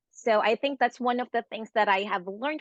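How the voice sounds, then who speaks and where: A woman with a plain, everyday voice speaks at a moderate pace with ordinary pitch variation, her sound dry and close with no echo over a quiet background. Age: 40s. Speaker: nurse and nursing professor. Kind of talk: interview testimony.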